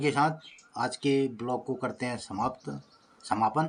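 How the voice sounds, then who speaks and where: The voice belongs to a man. Ordinary variation marks his pitch. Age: 60s. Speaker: village vlogger. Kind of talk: casual vlog talk to viewers. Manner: halting, with fillers.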